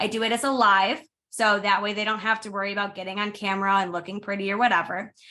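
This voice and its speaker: A woman speaks loudly at a medium pitch, with a bright, sharp tone. Her pace is very fast. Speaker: direct sales consultant. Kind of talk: training presentation. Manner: animated.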